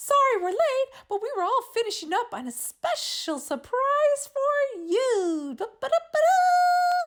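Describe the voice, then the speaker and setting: A woman's squeaky, put-on character voice, extremely high and excited and bubbly, with very wide pitch swings, a fairly slow pace and hardly any pauses. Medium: read story. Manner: excited, bubbly.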